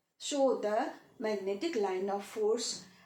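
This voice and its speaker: Audible room echo carries a woman's voice, which has ordinary pitch variation. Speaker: physics teacher. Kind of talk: lecture. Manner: slow; hesitant.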